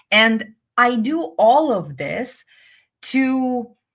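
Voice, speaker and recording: Against a quiet background, a woman talks with a Russian accent. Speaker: English teacher. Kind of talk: live webinar. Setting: live stream.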